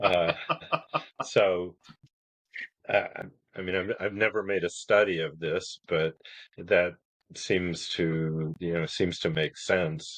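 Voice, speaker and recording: A man speaks at a very slow pace. His speech is broken by long, frequent pauses. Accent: American. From northern Indiana, US Midwest. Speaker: author, retired attorney. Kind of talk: casual chat.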